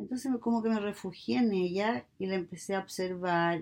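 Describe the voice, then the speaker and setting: A woman's dark, mellow tone at a moderate pace. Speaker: mother interviewed by her daughter. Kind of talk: casual chat.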